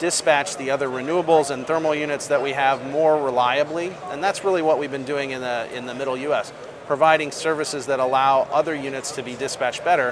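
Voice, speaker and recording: A man with an American accent, fairly high-pitched, at a very fast pace with hardly any pauses, over noticeable background noise. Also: fairly even intonation. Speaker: energy company executive. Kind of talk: interview. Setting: studio.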